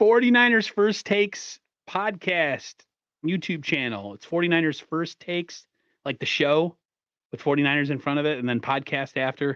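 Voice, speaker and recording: Fairly high-pitched and lively in intonation, a man talks at a moderate pace in a dry, close sound with no echo and a quiet background. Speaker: sports podcaster. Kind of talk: casual chat.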